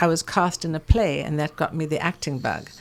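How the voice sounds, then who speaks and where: Over a very clean recording with a silent background, a woman speaks in a South African accent. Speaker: perfumer. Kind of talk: interview.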